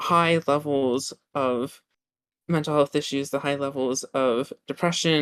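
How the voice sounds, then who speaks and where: A woman talks with an American accent. Her pitch is very deep and low, and her intonation stays fairly even. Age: 20s. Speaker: student political party activist. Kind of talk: interview. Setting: dorm room on a laptop. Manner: halting, many fillers. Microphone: laptop.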